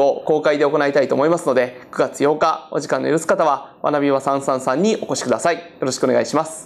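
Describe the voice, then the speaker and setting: Speaking at a fairly quick pace with hardly any pauses, a man uses a fairly high pitch. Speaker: interviewer and politician; program host. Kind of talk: panel discussion. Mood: cheerful, smiling. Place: classroom. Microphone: lapel.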